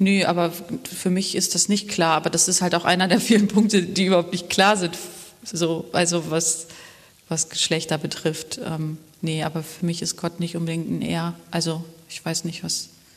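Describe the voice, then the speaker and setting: A woman speaks at a moderate pace in a fairly low pitch with monotone, flat intonation. Noticeable background noise runs beneath her voice. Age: 30s. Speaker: web developer, church member. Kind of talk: interview about faith journey during church service.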